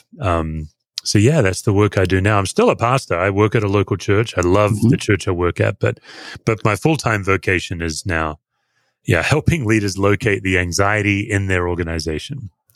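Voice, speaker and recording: A man's fairly low voice with ordinary pitch variation on a very clean recording with a silent background. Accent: Australian. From Australia. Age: 50s. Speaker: pastor. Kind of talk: interview conversation.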